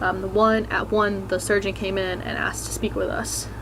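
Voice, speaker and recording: A soft-spoken voice comes through with noticeable background noise and audible echo from the room. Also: woman. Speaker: vlogger. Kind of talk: personal testimony vlog. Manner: quiet, speaking softly.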